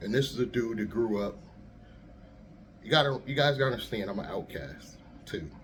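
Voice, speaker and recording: A man speaks with lively intonation and vocal fry. Audible room echo surrounds the voice. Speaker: YouTuber and rideshare driver. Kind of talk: casual vlog monologue. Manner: soft-spoken; easygoing.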